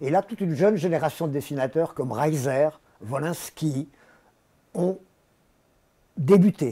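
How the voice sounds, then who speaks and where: Fairly high in pitch, a man speaks slowly with long, frequent pauses and ordinary pitch variation. His tone is dark and mellow. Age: 70s. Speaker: satirical cartoonist. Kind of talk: interview.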